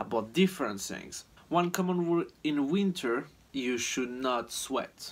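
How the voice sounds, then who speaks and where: Ordinary pitch variation marks this man's fairly slow speech. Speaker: hiker vlogger. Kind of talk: casual vlog chat. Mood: relaxed, friendly. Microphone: phone near.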